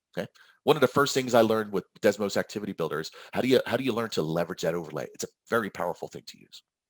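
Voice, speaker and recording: Pitched at a medium level, a man speaks very fast with very wide pitch swings. The recording is very clean, with a silent background and a dry, close sound with no echo. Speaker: math teacher presenting at a conference. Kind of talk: conference presentation. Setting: virtual conference session.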